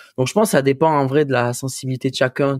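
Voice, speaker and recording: Recorded very cleanly with a silent background and a dry, close sound without echo, a man with a southern French accent speaks at a fairly quick pace in a medium-pitched voice with fairly even intonation. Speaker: musician. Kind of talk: casual chat. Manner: casual, slangy.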